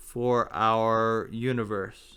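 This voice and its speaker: A man talks here. His tone is bright and sharp. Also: very clean recording, silent background. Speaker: amateur theorist explaining physics ideas. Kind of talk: informal lecture. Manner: halting, with fillers.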